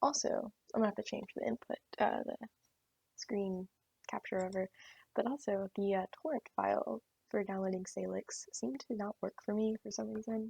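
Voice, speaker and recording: A soft-spoken woman talks at a moderate pace. The sound is dry and close, with no echo. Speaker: tech hobbyist video creator. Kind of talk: screen-recorded tutorial walkthrough. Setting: closet at client work site. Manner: halting, many fillers.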